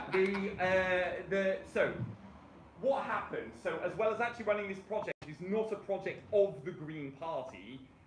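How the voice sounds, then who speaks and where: A man with a British accent speaks in a high pitch with ordinary pitch variation. Audible room echo and noticeable background noise accompany him. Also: moderate pace. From Britain. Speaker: rail transport campaigner. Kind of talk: presentation. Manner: halting, many fillers.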